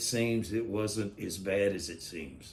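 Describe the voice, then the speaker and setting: A man's fairly low, somewhat breathy voice at a very slow pace, with ordinary pitch variation and audible room echo. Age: 60s. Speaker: vlogger giving opinion. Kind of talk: opinion monologue. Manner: halting.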